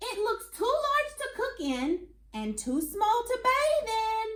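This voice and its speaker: In a put-on character voice, a woman squeaks at an extremely high pitch with very wide pitch swings. She speaks at a fairly slow pace. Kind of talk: classroom read-aloud. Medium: read story.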